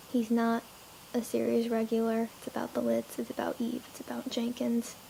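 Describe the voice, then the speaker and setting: Pitched high, a woman speaks at a moderate pace amid noticeable background noise. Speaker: fan vlogger. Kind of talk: casual fan monologue.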